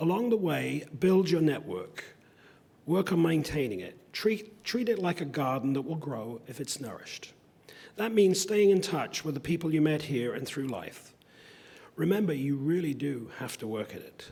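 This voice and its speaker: A man's fairly high voice with very wide pitch swings, big shifts in loudness, a dark, mellow tone and a moderate pace. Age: 60s. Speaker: convocation speaker. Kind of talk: commencement speech.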